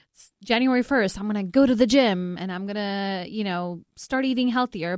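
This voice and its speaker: A woman speaks in a plain, everyday voice at medium pitch and a moderate pace. The recording is very clean, with a silent background. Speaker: nurse. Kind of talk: radio infomercial talk praising a clinic program. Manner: reassuring, friendly, sales-like.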